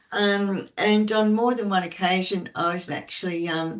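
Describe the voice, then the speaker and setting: A woman speaks with an Australian accent. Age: 60s. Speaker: peer support worker. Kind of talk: webinar talk, personal testimony. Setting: online webinar.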